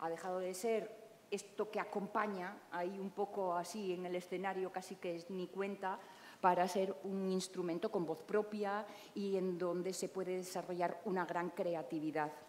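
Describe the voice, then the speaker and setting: A woman's flat, monotone delivery over light background noise. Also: medium pitch for a woman, moderate pace. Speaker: moderator and journalist. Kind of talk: moderated panel discussion. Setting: live event with audience. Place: hall.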